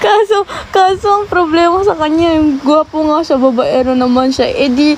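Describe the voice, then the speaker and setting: A woman's high, lively voice over noticeable background noise. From Japan (Filipino). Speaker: TikTok live streamer. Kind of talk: casual chat. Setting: live stream.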